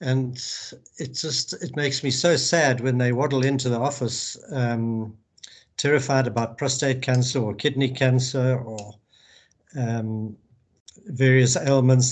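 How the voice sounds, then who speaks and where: A man speaks in a medium pitch. His voice is somewhat breathy, with fairly even intonation. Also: fairly slow pace. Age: 70s. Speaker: urological surgeon. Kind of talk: interview. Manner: halting, many repetitions.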